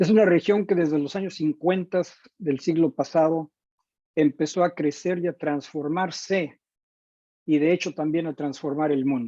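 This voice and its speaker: A man with a Mexican accent has a dark, mellow tone and a fairly high pitch, speaking with fairly even intonation in a dry, close sound with no echo. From Mexico. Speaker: teacher educator. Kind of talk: lecture. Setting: video call.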